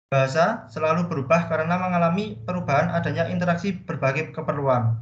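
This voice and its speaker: A man's fairly high voice with a Javanese accent, at a fairly quick pace, with ordinary pitch variation and audible room echo. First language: Javanese (speaking Indonesian). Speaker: student presenter. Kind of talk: class presentation.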